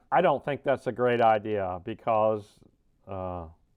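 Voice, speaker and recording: Mumbling at a fairly slow pace, with ordinary pitch variation. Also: man. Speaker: RC hobbyist, deaf. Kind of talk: casual unboxing talk.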